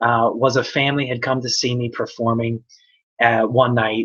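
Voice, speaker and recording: A man talks at a moderate pace in a medium pitch. He has an unremarkable speaking voice. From United States. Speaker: magician. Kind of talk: casual livestream talk. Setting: live video hangout.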